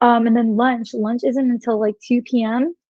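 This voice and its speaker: A woman speaks with an American accent. Her pitch is fairly high, with ordinary variation. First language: Spanish. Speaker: wellness blogger. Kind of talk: casual interview chat. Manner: many fillers, halting.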